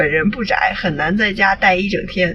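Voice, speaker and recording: The speaker keeps a moderate pace while noticeable background noise is heard. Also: woman. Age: 20s. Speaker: podcast co-host. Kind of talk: reading aloud; casual chat.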